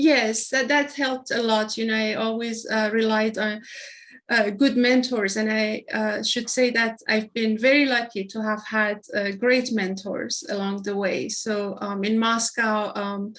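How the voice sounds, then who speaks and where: A woman with a Persian accent, fairly high pitch, a fairly slow pace and fairly even intonation. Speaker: hospital innovation executive. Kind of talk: interview. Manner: halting, many fillers.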